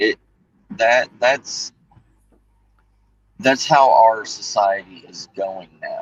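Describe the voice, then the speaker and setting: A man with a Southern US accent at a very slow pace, in a dry, close sound with no echo. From US South. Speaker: livestream guest, works in protection. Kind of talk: casual chat. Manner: halting, repeats words.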